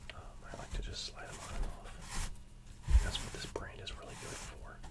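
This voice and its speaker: Whispered speech from a man at a moderate tempo, with noticeable background noise. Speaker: works in the medical field. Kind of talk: ASMR whisper video talking to viewers. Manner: soft-spoken, whispered.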